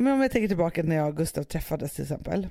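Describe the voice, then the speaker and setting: Recorded very cleanly against a silent background, a woman with a dark, mellow tone talks with lively intonation. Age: 30s. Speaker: podcast host. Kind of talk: casual chat. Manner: animated.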